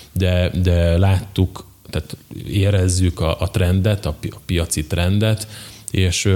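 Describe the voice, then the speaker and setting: Very slowly, a man speaks in a very deep, low pitch. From southern Slovakia, Hungarian minority (Nagykapos). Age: 30s. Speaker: entrepreneur, company director. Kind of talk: interview. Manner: halting, with frequent repetitions.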